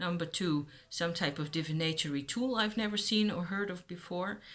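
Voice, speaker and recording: Lively intonation at a moderate pace, with a Dutch accent. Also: woman. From Netherlands. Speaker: YouTuber on witchcraft. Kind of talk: casual vlog talk.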